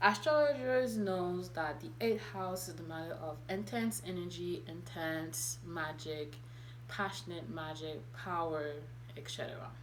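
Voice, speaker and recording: A woman talks at a fairly slow pace. Room echo can be heard. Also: big swings in loudness. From Haiti. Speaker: spiritual content creator. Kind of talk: vlog monologue.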